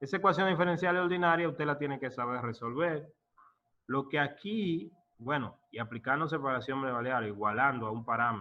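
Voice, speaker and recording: This man has an unremarkable speaking voice, fairly high in pitch, moving at a fairly quick pace with lively intonation. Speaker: professor. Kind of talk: lecture.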